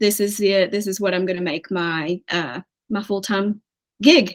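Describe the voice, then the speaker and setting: A woman with an East Tennessee accent talks at a fairly slow pace in a medium pitch. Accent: Southern US (East Tennessee). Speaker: financial coach, former teacher. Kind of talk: interview.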